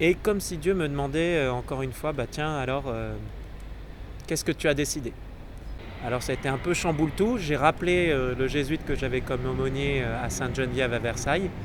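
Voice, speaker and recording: A man with a fairly high voice talks rather quickly, his words echoing in the room over clear background noise. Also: ordinary pitch variation. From southern France, Marseille. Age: 30s. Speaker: Jesuit priest-to-be. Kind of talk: personal testimony. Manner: hesitant, many fillers.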